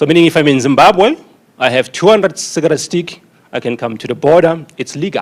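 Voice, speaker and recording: With a South African accent, a man speaks at a fairly quick pace and fairly high pitch, with ordinary pitch variation. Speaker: conference speaker on tobacco taxation. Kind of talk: conference presentation.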